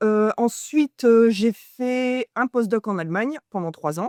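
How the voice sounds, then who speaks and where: At a very slow pace, a woman speaks with fairly high pitch and ordinary pitch variation in a dry, close recording with no echo. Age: 30s. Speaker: postdoctoral ecology researcher. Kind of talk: personal testimony interview.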